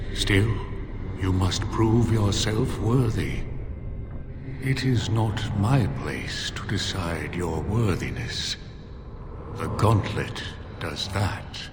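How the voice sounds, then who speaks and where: In a put-on character voice, a man speaks very slowly in a fairly low pitch with long, frequent pauses, amid a clear echo and loud background noise. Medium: game stream. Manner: slow, formal, grave.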